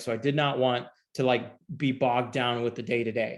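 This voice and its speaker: A man talks at a fairly quick pace. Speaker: real estate investor and lending company president. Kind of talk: online presentation to friends and family. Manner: fast; many fillers, self-corrections.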